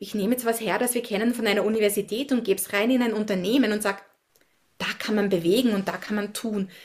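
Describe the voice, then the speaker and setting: A woman talks at a very fast pace. Her pitch is fairly high and her intonation fairly even. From Austria, Upper Austria. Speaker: science diplomat and community building consultant. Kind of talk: interview.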